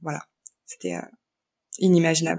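The clip is a very clean recording of a woman against a silent background. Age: 30s. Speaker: young mother and podcaster. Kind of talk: testimony. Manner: halting, many hesitations.

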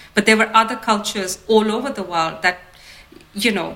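Over noticeable background noise, a woman talks in a fairly high voice. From India (Ahmedabad). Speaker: designer. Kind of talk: interview. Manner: hesitant, many fillers.

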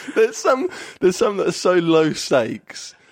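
This is a man speaking. He has an English accent. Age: 20s. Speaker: comedian. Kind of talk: casual chat.

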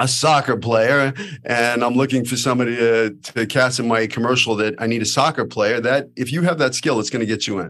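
This man talks at a moderate pace. His pitch sits in the medium range. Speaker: podcast host and acting teacher. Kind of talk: interview. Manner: animated.

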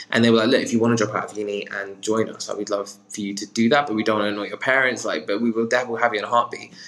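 A man in a British accent at medium pitch, very fast and with hardly any pauses, his intonation fairly even. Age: 20s. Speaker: talent manager. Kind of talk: interview answers.

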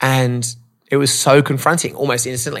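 The voice carries an Australian accent. It moves at a fairly quick pace. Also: man. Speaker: motivational speaker. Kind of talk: casual interview. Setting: in-person studio.

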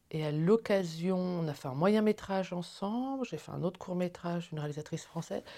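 A woman with a fairly low pitch and a dark, mellow tone speaks at a moderate pace. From France, Paris. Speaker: film producer. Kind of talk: interview. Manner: hesitant, many fillers.

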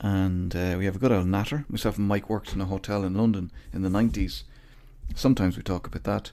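Speaking at a very fast pace, this man has an Irish accent and a very deep, low pitch. His tone is dark and mellow, with ordinary pitch variation. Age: 40s. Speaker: podcast host. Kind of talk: casual chat. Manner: laughs often.

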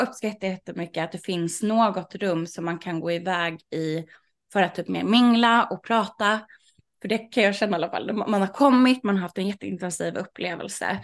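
This woman has a normal speaking voice at medium pitch, with ordinary pitch variation. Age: 30s. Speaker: sex party organizer. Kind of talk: casual interview.

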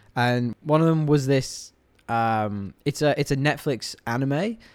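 Captured in a very clean recording with a silent background, a man speaks with a British accent and ordinary pitch variation. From England. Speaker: podcast host. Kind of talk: casual chat.

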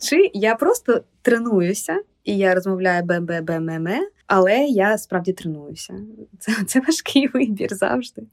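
A woman with a plain, everyday voice speaks at medium pitch and a fairly slow pace. Her intonation is lively, and the sound is dry and close with no echo. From Ukraine, Kyiv. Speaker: literary publisher. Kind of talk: podcast interview.

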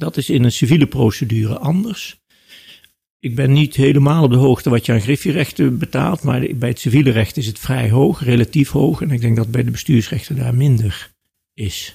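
Somewhat breathy, a man talks at a moderate pace and medium pitch, with ordinary pitch variation. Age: 60s. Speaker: law professor and lawyer. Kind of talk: interview.

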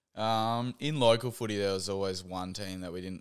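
Someone speaks at a fairly quick pace with an Australian accent. The recording is very clean, with a silent background. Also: man. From Western Australia, Geraldton. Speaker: professional Australian football player. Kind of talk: casual interview.

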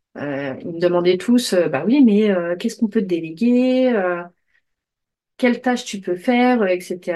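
A woman speaks at a medium pitch and a fairly slow pace, her tone dark and mellow. Her intonation is lively, broken by long, frequent pauses. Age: 30s. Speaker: podcast host and aspiring digital assistant. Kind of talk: casual solo monologue. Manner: hesitant with many fillers.

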